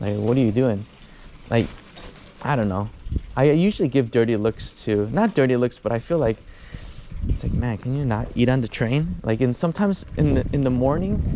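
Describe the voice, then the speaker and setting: With an American accent, a man speaks at medium pitch and a fairly quick pace, using lively intonation and long, frequent pauses. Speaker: travel vlogger. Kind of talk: casual vlog monologue. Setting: outdoors, riding a bicycle. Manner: hesitant, many fillers and restarts.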